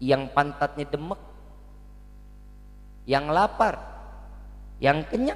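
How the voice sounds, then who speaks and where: A man speaks very slowly in a Jakarta accent. His speech has long, frequent pauses. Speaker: Islamic preacher. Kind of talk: sermon. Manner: interactive, asks audience questions.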